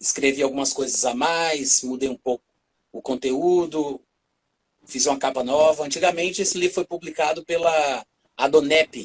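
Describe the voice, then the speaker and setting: An ordinary speaking voice from a man, fairly high in pitch, at a moderate pace with fairly even intonation, in a dry, close sound with no echo. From Brazil, Fortaleza, Ceará (Northeast). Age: 40s. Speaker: preacher and author. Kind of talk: casual chat on a church livestream.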